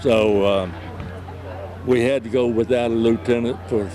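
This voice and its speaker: Against noticeable background noise, a man with a Southern US accent talks at a moderate pace with a fairly low pitch and ordinary pitch variation. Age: 90s. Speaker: war veteran. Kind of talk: testimony.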